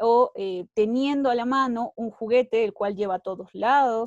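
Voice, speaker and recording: Speaking with lively intonation, a woman has a fairly high pitch. The sound is dry with no echo, over a quiet background. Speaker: psychologist and university lecturer. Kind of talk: lecture. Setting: video call. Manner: hesitant, many fillers. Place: home room. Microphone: earbuds.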